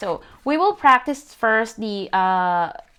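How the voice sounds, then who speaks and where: Her pitch is fairly high, and this woman's intonation is lively. The recording is very clean, with a silent background. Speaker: calligraphy instructor. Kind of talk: tutorial. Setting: livestream on social media. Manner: halting, many fillers.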